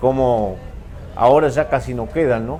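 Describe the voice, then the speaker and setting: Over noticeable background noise and audible room echo, a man talks at a very slow pace in a medium pitch. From rural Uruguay, San José department. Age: 70s. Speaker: writer of rural stories. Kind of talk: talk at a book fair. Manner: halting.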